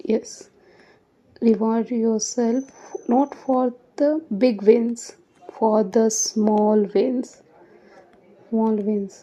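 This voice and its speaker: With a non-native accent, a woman speaks at a very slow pace and a fairly high pitch. Her intonation is fairly even, broken by long, frequent pauses. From India. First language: not English. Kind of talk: casual talk to camera.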